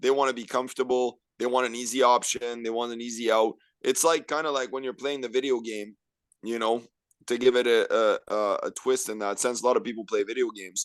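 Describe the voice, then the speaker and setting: Against a quiet background, a man with an ordinary speaking voice talks at a medium pitch and a fairly quick pace with fairly even intonation. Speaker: podcast guest. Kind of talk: casual podcast conversation.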